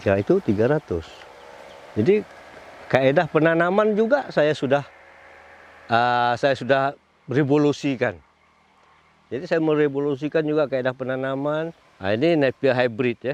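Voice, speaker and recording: A man talks at a moderate pace in a Malaysian accent, his voice fairly high. He leaves long, frequent pauses. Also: lively intonation. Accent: Malaysian Malay. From Malaysia, Kuala Selangor. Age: 60s. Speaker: farmer and livestock breeder. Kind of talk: interview-style testimony.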